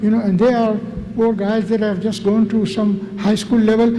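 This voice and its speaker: Amid noticeable background noise and audible room echo, a man speaks at an extremely high pitch. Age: 70s. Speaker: community presenter. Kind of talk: presentation to an audience. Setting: mosque event with audience. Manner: animated.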